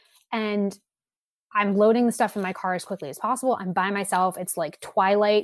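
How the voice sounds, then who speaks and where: A woman with an unremarkable speaking voice talks at a moderate pace and a medium pitch, keeping her intonation fairly even. The recording is very clean, with a silent background. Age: 20s. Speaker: baseball podcast host. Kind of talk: casual discussion.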